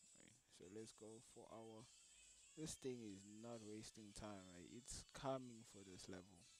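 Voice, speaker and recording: Over music in the background and audible room echo, a man with a fairly low pitch talks at a fairly slow pace with fairly even intonation. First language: French, Lingala or Swahili. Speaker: forex day trader. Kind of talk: live trading tutorial. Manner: casual, thinking aloud with hesitations.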